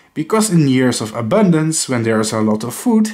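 With a non-native accent, a man speaks in a fairly high pitch that makes very wide swings. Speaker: educational YouTuber. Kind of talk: lecture. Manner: formal.

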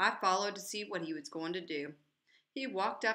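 Against a quiet background, lively intonation marks this unforced reading voice.

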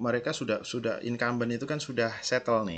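The voice is a man's, at medium pitch. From Indonesia, Yogyakarta; Indonesia. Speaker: university lecturer. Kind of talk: recorded lecture. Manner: casual, conversational. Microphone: headset.

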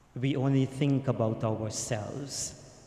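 Slow, fairly even speech in a dark, mellow tone. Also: man.

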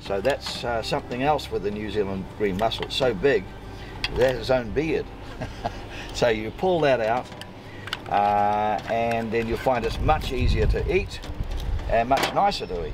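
A man speaks with long, frequent pauses. Noticeable background noise is present. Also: moderate pace. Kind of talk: tutorial. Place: waterside.

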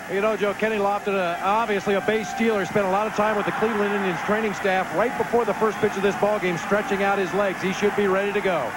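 A man's high-pitched, monotone, flat delivery at a very fast pace, very even in loudness, with hardly any pauses and noticeable background noise. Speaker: field reporter. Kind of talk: live sports commentary. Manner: crisp, reporting.

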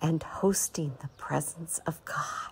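Soft-spoken and somewhat breathy, a woman with a fairly low pitch speaks at a very slow pace with ordinary pitch variation. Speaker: meditation guide. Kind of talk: prophetic meditation.

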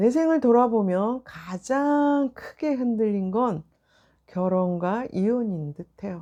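Against a quiet background, a woman with a dark, mellow tone and fairly high pitch speaks at a very slow pace with lively intonation. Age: 60s. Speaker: vlogger giving life reflections. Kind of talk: personal monologue to camera. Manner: reflective, with frequent filler pauses.

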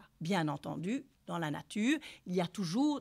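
A woman speaks in a bright, sharp tone with very wide pitch swings. The background is quiet. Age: 50s. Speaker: sex therapist and couples therapist. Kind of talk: lecture. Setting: university lecture hall with audience. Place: hall. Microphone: podium.

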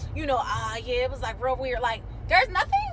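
Music sounds in the background. Over it, a woman talks fairly quickly. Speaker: vlogger. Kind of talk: casual vlog chat. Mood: animated, amused storytelling. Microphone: phone near.

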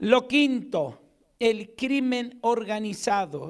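A man with an Argentine accent, ordinary pitch variation and a quiet background. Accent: Argentine Spanish, noticeable. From Argentina. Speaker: pastor. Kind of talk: sermon. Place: church. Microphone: handheld.

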